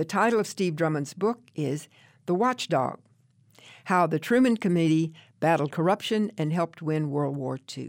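With an unremarkable speaking voice, a woman talks at a moderate pace in a fairly low pitch with lively intonation, on a very clean recording with a silent background. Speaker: radio book show host. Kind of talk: radio host patter, interview and introductions. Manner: warm, polished, conversational, brisk announcer cadence.

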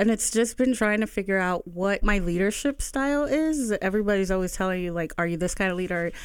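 In an unremarkable speaking voice, a woman at medium pitch speaks with ordinary pitch variation on a very clean recording with a silent background. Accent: American. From Bethlehem, Pennsylvania, US. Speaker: nonprofit executive director. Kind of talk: radio interview.

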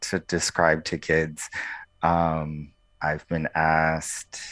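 A man is talking here. His voice sits very deep and low. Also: quiet background. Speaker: pediatric infectious disease doctor. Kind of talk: radio interview.

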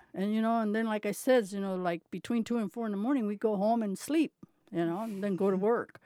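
Very fast and at a medium pitch, a woman talks with a dark, mellow tone and ordinary pitch variation in a dry, close sound with no echo. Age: 70s. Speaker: retired male impersonator. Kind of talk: oral history interview. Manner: halting.

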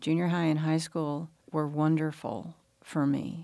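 A woman with a Southern US accent speaks fairly slowly in a very deep, low voice, her tone dark and mellow. Her intonation is monotone and flat, and the recording is very clean with a silent background. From US South, Mississippi Delta (Leland). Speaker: interviewee recalling school desegregation. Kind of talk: radio interview.

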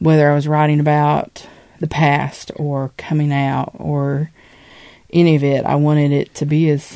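At a fairly slow pace, a woman speaks with a very deep, low pitch and a dark, mellow tone. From Eastern Kentucky. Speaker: poet. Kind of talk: interview. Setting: radio studio.

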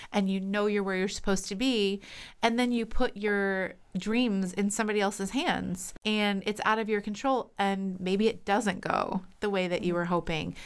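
In an ordinary speaking voice with an American accent, someone talks at a moderate pace with fairly even intonation on a very clean recording with a silent background. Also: woman, medium pitch for a woman. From US East Coast, Pennsylvania and New Jersey. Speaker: voice teacher and actress. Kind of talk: casual interview.

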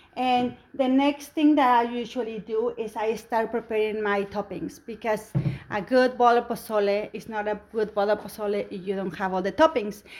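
The speaker talks at a moderate pace with ordinary pitch variation and a Spanish accent. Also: woman, fairly high pitch for a woman. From Mexico. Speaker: home cook and cooking competition winner. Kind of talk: radio interview about cooking.

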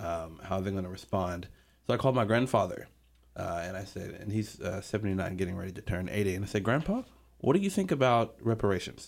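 The man speaks at a very fast pace. His pitch is fairly low, with ordinary variation. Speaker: university student. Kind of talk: radio panel discussion. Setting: radio studio.

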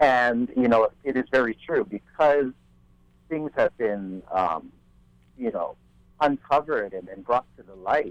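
Lively intonation in a Hawaiian accent at a fairly slow pace, with long, frequent pauses, big swings in loudness, and a dry, close sound with no echo. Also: man, medium pitch for a man. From Maui, Hawaii. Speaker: musician. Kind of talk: radio roundtable discussion. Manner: halting.

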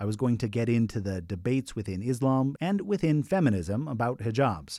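A man with an American accent, an unremarkable speaking voice, lively intonation, and moderate pace on a very clean recording with a silent background. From Idaho (Boise). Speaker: podcast host, journalist. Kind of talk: documentary narration with interview.

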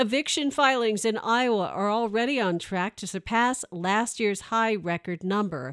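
A woman with an unremarkable speaking voice and a fairly high pitch talks at a moderate pace with hardly any pauses, in a very clean recording with a silent background and a dry, close sound with no echo. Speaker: public radio news anchor. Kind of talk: news reading, scripted radio newscast. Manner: formal; steady, even-paced.

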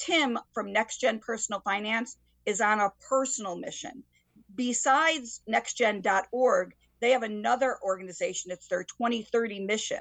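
An unremarkable speaking voice in an American accent, at a moderate pace with ordinary pitch variation. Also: woman, fairly high pitch for a woman. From Connecticut, Waterbury. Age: 60s. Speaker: high school teacher. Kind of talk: interview. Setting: video call.

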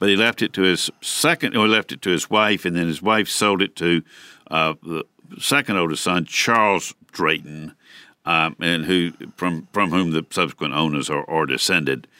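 A man with an American accent speaks with a very deep, low pitch, a bright, sharp tone and vocal fry, in a dry, close sound with no echo and a very clean recording over a silent background. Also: ordinary pitch variation, moderate pace. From US South, Atlanta. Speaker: historic site director and author. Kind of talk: radio interview. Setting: studio. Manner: halting, many repeated words.

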